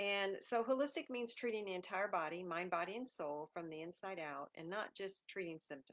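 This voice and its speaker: With a dry, close sound and no echo, a woman speaks at a medium pitch and moderate pace with lively intonation. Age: 60s. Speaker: holistic lifestyle educator. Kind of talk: casual talk. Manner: halting.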